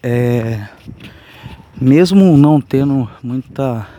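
This man's voice sits at a medium pitch, and his pitch varies in an ordinary way. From São Paulo state, Brazil. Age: 30s. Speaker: podcaster. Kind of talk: casual monologue. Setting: outdoors on the street. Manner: soft-spoken.

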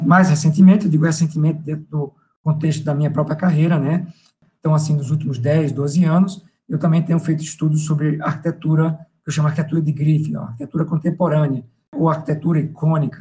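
A man's fairly high voice with a dark, mellow tone, very fast and monotone, with flat intonation. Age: 50s. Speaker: professor. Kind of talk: interview.

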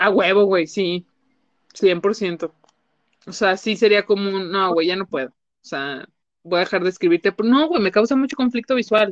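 A woman at medium pitch, with big swings in loudness and long, frequent pauses. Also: ordinary pitch variation. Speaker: psychologist. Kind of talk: casual chat. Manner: animated.

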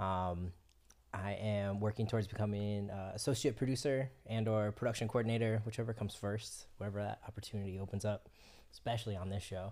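At a fairly quick pace, a man with an American accent speaks in a fairly low pitch with a dark, mellow tone. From Florida. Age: 30s. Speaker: film production crew member. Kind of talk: casual chat.

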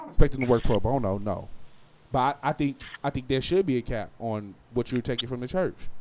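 An ordinary speaking voice moves at a fairly quick pace with ordinary pitch variation. Its loudness swings widely. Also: man, medium pitch for a man. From Las Vegas, US West. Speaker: podcast co-host. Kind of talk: casual banter podcast chat.

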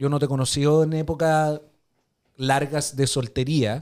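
A man with a Chilean accent at medium pitch and a fairly slow pace. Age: 30s. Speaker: podcast co-host. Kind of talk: casual chat.

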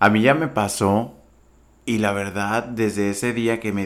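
Fairly slow and fairly even in intonation, a man speaks in an ordinary speaking voice with fairly low pitch. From Sonora, Mexico (ejido near Empalme). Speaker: TV and radio presenter. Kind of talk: casual interview.

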